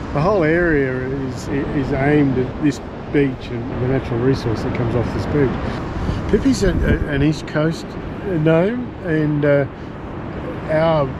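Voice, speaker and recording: A man speaks at a fairly slow pace with long, frequent pauses and ordinary pitch variation. Loud background noise fills the dry recording, which has no echo. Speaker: commercial cockling guide. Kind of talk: interview answer. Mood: calm, earnest explanation. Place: beach. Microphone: lapel.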